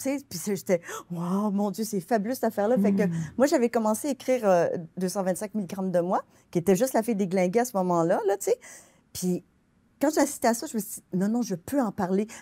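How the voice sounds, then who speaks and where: The voice has a dark, mellow tone, ordinary pitch variation, and a fairly quick pace with long, frequent pauses. The background is quiet. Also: woman, medium pitch for a woman. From Quebec. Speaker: novelist; guest. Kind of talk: interview. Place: studio.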